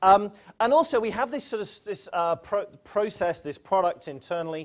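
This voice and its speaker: A man with a British accent speaks at a fairly quick pace, his pitch swinging very widely. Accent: British accent, noted by himself. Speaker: quantitative research head at a bank. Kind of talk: conference presentation.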